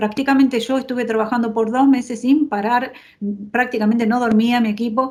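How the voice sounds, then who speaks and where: A woman speaks at a fairly quick pace and a high pitch, her intonation monotone and flat. An audible room echo can be heard. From Argentina. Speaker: urban designer. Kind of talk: lecture. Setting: video call.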